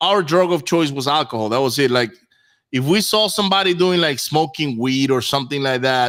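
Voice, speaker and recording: A man speaks at a fairly high pitch, his intonation lively. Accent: Spanish. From Venezuela. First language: Spanish. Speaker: real estate investor. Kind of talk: interview. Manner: halting, many repeats and fillers.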